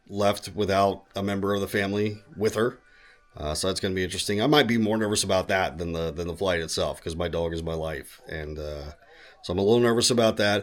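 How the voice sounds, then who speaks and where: Music plays in the background as a man speaks at a fairly quick pace. His pitch is very deep and low, and his intonation fairly even. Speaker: voice actor. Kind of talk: casual talk to camera.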